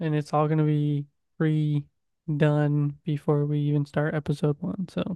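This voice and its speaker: The speech keeps a moderate pace against a quiet background. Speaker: podcast co-host. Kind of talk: casual sports podcast chat. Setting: studio podcast. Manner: upbeat, playful.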